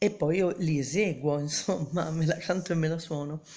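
The woman talks at a fairly low pitch with ordinary pitch variation. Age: 50s. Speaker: singer-songwriter. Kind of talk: self-introduction video; casual self-introduction vlog. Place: home room. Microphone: phone near.

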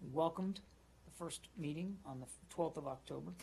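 A man speaks at a fairly quick pace over light background noise. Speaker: government spokesperson. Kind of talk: official press statement. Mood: formal, measured. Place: hall. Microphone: podium.

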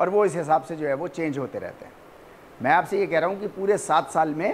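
Light background noise accompanies a man with a high pitch talking at a moderate pace. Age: 50s. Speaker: professor. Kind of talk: lecture. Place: classroom. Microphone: lapel.

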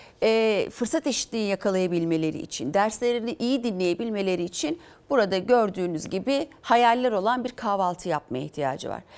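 A woman speaks at a moderate pace in a fairly high voice, her intonation lively. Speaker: opposition politician. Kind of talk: political TV interview. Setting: TV studio. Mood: critical, indignant. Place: studio. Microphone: lapel.

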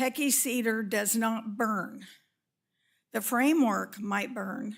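In a very clean recording with a silent background, a woman with a Western US accent speaks very slowly in a somewhat breathy, fairly high voice with fairly even intonation. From Northern California. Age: 80s+. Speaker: public commenter at city meeting. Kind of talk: public comment. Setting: council chamber meeting.

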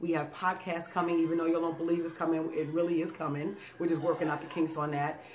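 Over light background noise, a woman with a fairly low voice speaks in an animated tone. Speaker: food YouTube channel co-host. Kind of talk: casual thank-you message to viewers. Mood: warm, grateful, playful. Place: home room.

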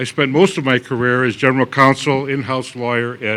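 His tone is bright and sharp. The man speaks at a medium pitch.

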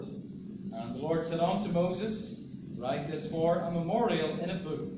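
A man speaks with audible room echo and music in the background. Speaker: scripture reader. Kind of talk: scripture reading. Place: church. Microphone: podium.

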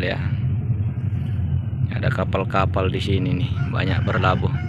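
Loud background noise runs under a man's voice. The sound is dry with no echo, and his pitch varies in an ordinary way. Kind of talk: casual vlog chat. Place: boat. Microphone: phone near.

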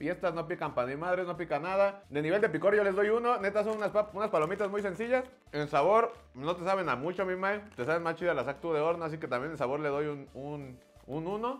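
With faint music in the background, a man talks at a very fast pace in an animated tone. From Mexico. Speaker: comedian and YouTuber. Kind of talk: casual comedic taste-test vlog with slangy, joking banter and promo pitch. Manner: animated, fast, jokey; slangy, profanity-laden. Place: studio.

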